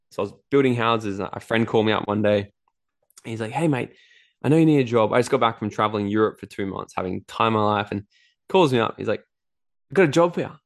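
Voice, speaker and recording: A man with an Australian accent, medium pitch and ordinary pitch variation, at a very fast pace broken by long, frequent pauses. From Australia, Gold Coast. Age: 20s. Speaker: entrepreneur and events speaker. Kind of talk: interview. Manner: animated.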